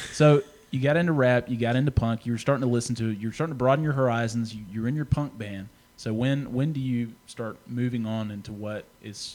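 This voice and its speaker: A man with an ordinary speaking voice talks fairly quickly at a medium pitch with ordinary pitch variation. His loudness swings widely on a very clean recording with a silent background. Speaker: podcast interviewer. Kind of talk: casual interview chat.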